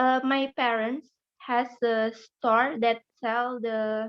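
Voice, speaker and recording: In an Indonesian accent, a woman speaks at a high pitch with monotone, flat intonation. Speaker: participant asking a question. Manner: halting.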